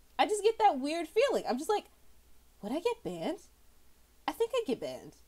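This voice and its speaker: An animated woman's voice, extremely high in pitch, with very wide pitch swings at a fairly quick pace. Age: adult. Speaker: art streamer. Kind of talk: casual chat while drawing on stream. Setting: live stream. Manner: animated, rambling with many fillers and repetitions.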